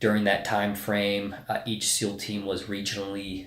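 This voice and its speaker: There is audible room echo around a man's somewhat breathy, fairly low-pitched voice. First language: Spanish. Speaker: navy special forces officer. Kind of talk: casual interview. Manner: hesitant, many fillers.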